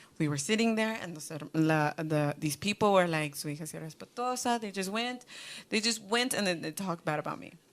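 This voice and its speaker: The recording is very clean with a silent background as a woman talks fairly quickly in a fairly low pitch with lively intonation. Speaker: youth group leader. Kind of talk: youth Bible study discussion. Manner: loud; halting, code-switching.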